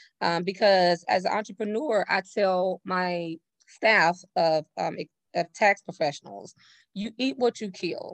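A woman with an American accent has a plain, everyday voice of medium pitch, talking at a fairly slow pace with ordinary pitch variation. The sound is dry and close with no echo, over a quiet background. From Texas, Navasota near Houston. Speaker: business owner and author. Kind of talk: interview.

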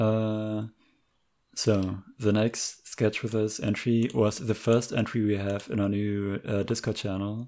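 A man speaks in a flat monotone at a fairly low pitch, his tone dark and mellow. The recording is very clean, with a silent background. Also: fairly slow pace. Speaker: podcast host. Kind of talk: casual chat.

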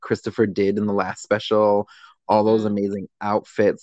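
A man's fairly low voice sounds dry and close with no echo over a quiet background. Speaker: podcast host. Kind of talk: casual chat.

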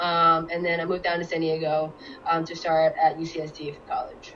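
Noticeable background noise sits behind a woman who speaks at a fairly low pitch with a Cantonese accent. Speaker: guest. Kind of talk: casual interview chat.

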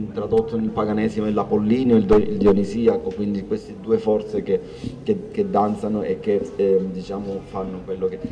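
The man keeps up a fairly quick pace as noticeable background noise carries on around him. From Calabria, Palmi (Reggio Calabria). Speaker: artist and designer. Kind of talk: public talk.

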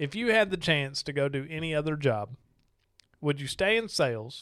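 Speaking at a moderate pace, a man with a Southern US accent uses a fairly high pitch and lively intonation, leaving long, frequent pauses. The recording is very clean with a silent background. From Arkansas. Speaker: podcast host, RV salesman. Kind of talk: casual interview chat over beers.

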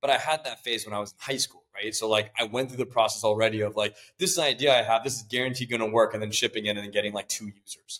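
Talking at a very fast pace with hardly any pauses, a man with a Californian accent keeps a medium pitch and ordinary pitch variation. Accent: Californian American. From California, Silicon Valley. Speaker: tech startup CEO. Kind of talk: interview.

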